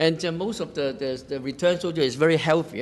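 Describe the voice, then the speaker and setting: A man with a Cantonese accent talks at a fairly quick pace with ordinary pitch variation. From Hong Kong. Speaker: interviewer. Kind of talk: interview. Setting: museum exhibition room. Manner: halting.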